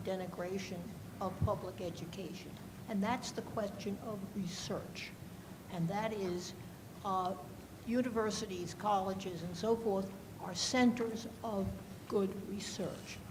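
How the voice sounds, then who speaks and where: A woman at medium pitch talks at a fairly slow pace with fairly even intonation, while noticeable background noise and audible room echo fill the recording. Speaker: audience member, former teacher. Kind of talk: audience question.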